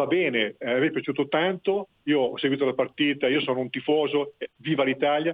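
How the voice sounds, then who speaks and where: Talking at a moderate pace, a man uses a fairly high pitch with ordinary pitch variation. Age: 60s. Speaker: retired caller. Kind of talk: radio call-in. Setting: phone call. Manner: halting.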